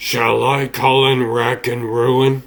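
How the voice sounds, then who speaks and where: A man puts on a character voice at medium pitch with monotone, flat intonation. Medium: fan dub. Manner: formal, deferential.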